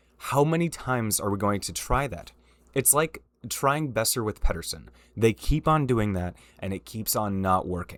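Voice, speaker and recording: In a very clean recording with a silent background, a man with a fairly low pitch speaks in an animated tone at a moderate pace with lively intonation. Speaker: hockey commentary youtuber. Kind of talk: casual rant.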